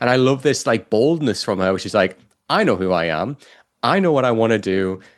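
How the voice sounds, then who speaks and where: A man with a British accent, medium-pitched, animated and lively in intonation, at a fairly quick pace over a quiet background. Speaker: podcast co-host. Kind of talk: casual chat.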